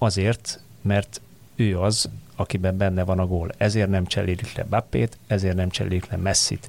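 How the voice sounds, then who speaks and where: A man's very deep, low voice at a moderate pace, with very even loudness. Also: fairly even intonation. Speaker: podcast host. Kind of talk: casual football discussion. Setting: studio.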